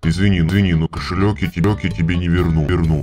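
Over clear background music, a put-on character voice speaks at a moderate pace. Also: man, very deep, low pitch for a man. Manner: deadpan, reluctant.

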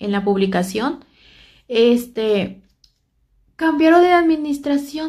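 A woman speaks fairly slowly with lively intonation. Her tone is dark and mellow, and the background is quiet. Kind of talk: casual vlog chat, reading messages aloud. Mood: annoyed, complaining. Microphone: phone near.

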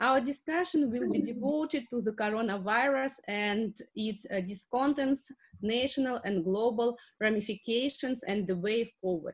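Against a quiet background, a woman with a Russian accent speaks at a moderate pace and a fairly high pitch with ordinary pitch variation. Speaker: academic moderator. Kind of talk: moderating an online seminar. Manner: halting. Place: home room. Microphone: webcam.

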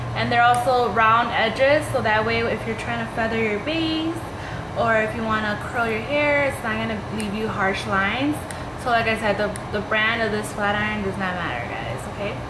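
Noticeable background noise sits behind a woman talking at a moderate pace. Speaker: hair vlogger. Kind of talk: tutorial. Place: home room. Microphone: phone near.

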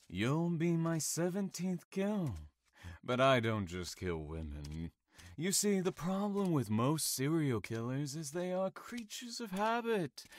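On a very clean recording with a silent background, a man with a fairly high voice talks at a fairly slow pace, his pitch swinging very widely. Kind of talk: audio drama acting. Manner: calm, mocking, menacing.

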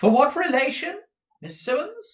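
A man puts on a character voice at an extremely high pitch, with big pitch swings. He speaks at a fairly slow pace amid audible room echo.

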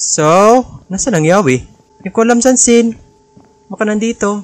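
A man speaks at a high pitch in a dry sound with no echo. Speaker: gamer streamer. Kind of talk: gameplay commentary. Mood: nervous, startled, playful. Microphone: studio mic.

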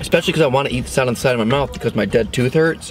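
Over clear background noise, a man talks at a very fast pace with a medium pitch and ordinary pitch variation.

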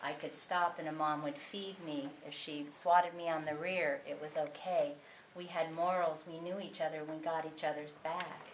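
A woman speaks at a moderate pace in a monotone, flat delivery with fairly low pitch. Noticeable background noise can be heard. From Southern California. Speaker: audience member. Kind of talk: audience comment.

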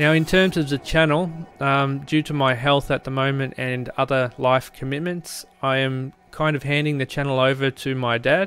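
In a dry sound with no echo, a man talks at a moderate pace with fairly even intonation. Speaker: tech channel host. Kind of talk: casual vlog chat. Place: workshop. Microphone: studio mic.

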